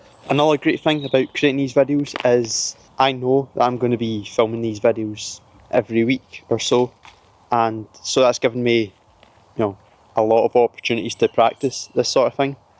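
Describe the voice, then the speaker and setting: The recording is dry and close, with no echo. A man talks at a moderate pace and a medium pitch. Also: fairly even intonation. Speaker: self-improvement vlogger. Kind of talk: casual talk to camera. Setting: filming himself on camera. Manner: monotone.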